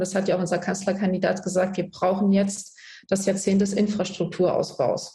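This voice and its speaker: A woman's somewhat breathy voice, dark and mellow in tone, medium-pitched, with monotone, flat intonation. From Germany, Palatinate (rural village). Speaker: politician. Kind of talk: political debate.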